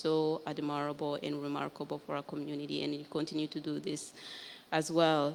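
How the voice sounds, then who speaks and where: This woman has a very deep, low pitch and speaks at a fairly quick pace. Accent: Rwandan. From Rwanda. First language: Kinyarwanda. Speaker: author and genocide survivor. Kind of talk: panel talk. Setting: library event with live audience.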